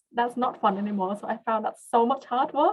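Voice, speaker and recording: Speaking at a moderate pace, a woman with a non-native accent uses a fairly high pitch. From came to Australia as a teen, grew up partly in Western Australia. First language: not English. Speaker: research scientist. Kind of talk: webinar career talk. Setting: online webinar. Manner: hesitant, many fillers.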